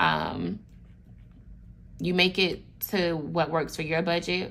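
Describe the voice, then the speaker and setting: A woman's fairly low pitch with vocal fry and a monotone, flat intonation. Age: 20s. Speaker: budgeting vlogger. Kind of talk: tutorial. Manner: casual, with fillers.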